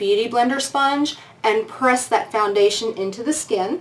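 At a moderate pace, a woman talks. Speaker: beauty vlogger. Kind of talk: casual vlog chat. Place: home room.

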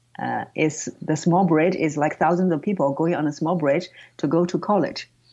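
Over a quiet background, a woman with a Chinese accent speaks with a very deep, low pitch, a dark, mellow tone, and fairly even intonation. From northern China, Tianjin. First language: Mandarin Chinese. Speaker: voice coach. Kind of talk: interview.

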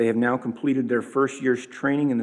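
A man's monotone, flat delivery at a fairly quick pace, over a quiet background. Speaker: church leader. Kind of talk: announcements and prayer. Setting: church. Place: church. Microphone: podium.

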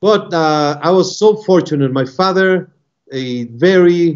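At a fairly slow pace, a man speaks with ordinary pitch variation against a quiet background. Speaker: remote guest. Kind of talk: interview answer. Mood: warm, nostalgic. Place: office. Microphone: video call.

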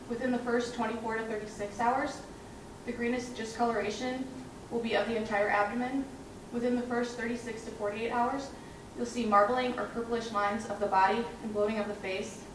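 Amid noticeable background noise and audible room echo, a woman speaks with monotone, flat intonation. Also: moderate pace. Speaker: presenter. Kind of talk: research presentation. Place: hall. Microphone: camera far.

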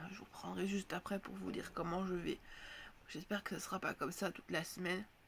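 Using a put-on character voice, a woman talks at a very fast pace with a hoarse, medium-pitched sound over clear background noise. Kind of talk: casual vlog chat.

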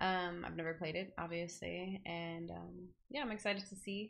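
A woman's bright, sharp tone at a fairly slow pace, with ordinary pitch variation. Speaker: game streamer. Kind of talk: casual stream chat. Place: home room.

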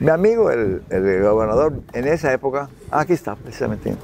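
Amid noticeable background noise, a man's voice with very wide pitch swings comes through with a dry sound and no echo. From Yucatán, Mexico. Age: 80s+. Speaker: nautical businessman and jazz musician. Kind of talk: interview answer. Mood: warm, proud storytelling. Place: waterside. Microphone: lapel.

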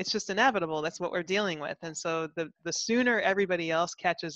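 A woman speaks in a normal speaking voice, fairly low in pitch and with fairly even intonation. The sound is dry with no echo, over a quiet background. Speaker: panelist. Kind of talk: panel discussion chat. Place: office. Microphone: headset.

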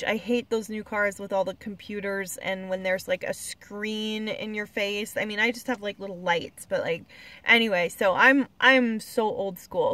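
A woman speaks at a fairly slow pace in a bright, sharp tone, with fairly even intonation and a dry sound with no echo. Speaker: car-living traveler vlogger. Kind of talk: casual vlog chat. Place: car. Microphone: phone near.

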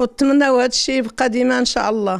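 A woman speaks with a Moroccan accent against a quiet background. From Morocco. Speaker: family member. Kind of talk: interview; interview answer. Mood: proud, warm. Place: home room. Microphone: handheld.

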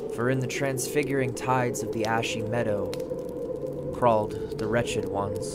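A man's voice against noticeable background noise. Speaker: spoken word performer. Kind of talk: dramatic horror poetry reading.

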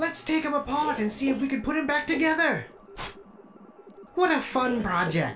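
Putting on a character voice that sounds female, the speaker moves at a moderate pace with long, frequent pauses over clear background noise. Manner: chipper, naive, warm.

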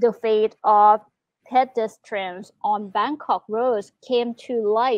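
At a fairly slow pace, a woman talks in a plain, everyday voice, fairly high in pitch with fairly even intonation. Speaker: news co-presenter. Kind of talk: newsreading. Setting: studio. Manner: formal, even delivery.

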